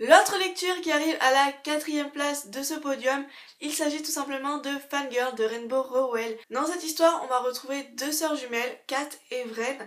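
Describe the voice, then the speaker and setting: A woman's voice sits at a high pitch with ordinary pitch variation. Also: moderate pace. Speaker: book reviewer. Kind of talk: casual vlog review. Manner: hesitant, many fillers.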